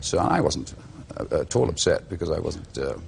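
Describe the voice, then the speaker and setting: A man is speaking. He has a Welsh accent. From Wales. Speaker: actor. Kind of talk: interview answer.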